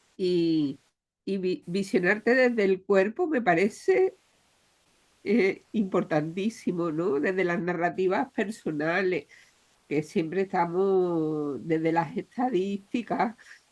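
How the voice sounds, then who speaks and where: Speaking at a very slow pace, the woman uses a medium pitch and ordinary pitch variation. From Andalusia, Spain. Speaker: audience participant. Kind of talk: audience comment. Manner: halting.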